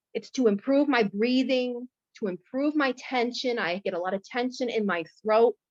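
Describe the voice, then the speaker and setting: A woman with a high pitch is heard in a dry, close recording with no echo. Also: ordinary pitch variation, moderate pace. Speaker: guest sharing stuttering experience. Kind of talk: testimony. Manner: halting.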